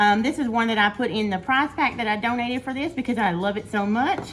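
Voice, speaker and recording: A high-pitched woman at a fairly quick pace, with noticeable background noise. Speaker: cooking YouTuber. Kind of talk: cooking tutorial. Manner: fast.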